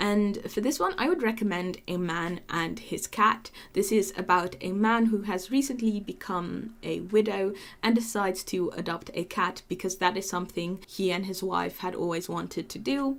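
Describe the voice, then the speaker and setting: A woman speaks at a moderate pace with ordinary pitch variation and vocal fry. The recording is very clean, and the background is silent. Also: medium pitch for a woman, hardly any pauses. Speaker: anime podcast host. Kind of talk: casual podcast monologue. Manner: animated.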